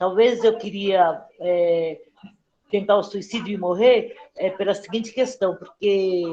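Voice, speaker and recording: Very slow speech from a woman at medium pitch, her intonation fairly even. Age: 60s. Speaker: mental health service user sharing experience. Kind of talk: testimony. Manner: halting, many fillers.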